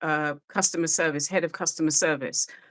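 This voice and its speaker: A woman with a British accent speaks at a fairly low pitch in a bright, sharp tone. The recording is very clean with a silent background. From UK. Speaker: re-entry program facilitator. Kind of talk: podcast interview.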